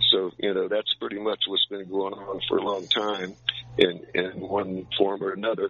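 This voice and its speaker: Noticeable background noise sits under a man speaking at a moderate speed. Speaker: caller.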